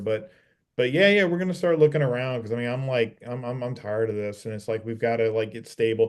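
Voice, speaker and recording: An ordinary speaking voice, this man's has medium pitch, ordinary pitch variation and an American accent. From US South, New Orleans. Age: 50s. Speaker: reef aquarium hobbyist, channel owner. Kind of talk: casual chat.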